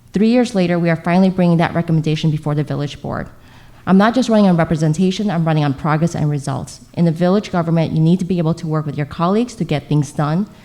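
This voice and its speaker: Very fast and fairly low for a woman, her dark, mellow voice carries a Chicago-area accent and ordinary pitch variation. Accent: Chicago-area American English. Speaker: local politician. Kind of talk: prepared opening statement at candidate forum. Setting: public library forum with live audience.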